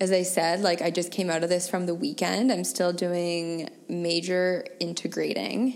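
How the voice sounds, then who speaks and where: Over noticeable background noise, a woman talks at a fairly slow pace and fairly low pitch, with very even loudness, ordinary pitch variation and hardly any pauses. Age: 30s. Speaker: spiritual wellness podcast host. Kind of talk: solo monologue, personal reflection.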